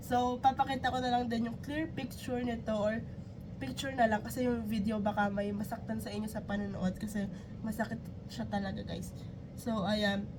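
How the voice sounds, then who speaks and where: A woman speaks at a fairly high pitch and a moderate pace with ordinary pitch variation. Audible room echo and noticeable background noise fill the recording. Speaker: YouTube reactor. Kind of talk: reaction video.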